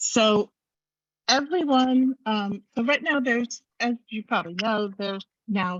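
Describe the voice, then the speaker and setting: Soft-spoken and at a fairly slow pace, the voice shows ordinary pitch variation in a dry, close sound with no echo. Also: woman. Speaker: advocacy group member presenter. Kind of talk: online meeting presentation. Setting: video call. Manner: speaking louder than usual.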